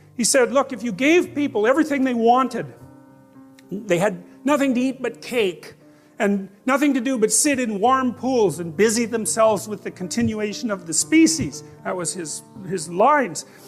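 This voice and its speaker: Lively intonation carries a moderate pace, with music playing in the background. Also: man, high pitch for a man. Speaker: psychologist and public lecturer. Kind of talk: motivational lecture to an audience.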